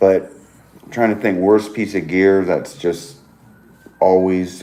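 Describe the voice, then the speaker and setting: A man with a very deep, low pitch speaks at a very slow pace in a monotone, flat intonation. His loudness swings widely. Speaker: fellow long-distance hiker. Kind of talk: casual live-stream chat.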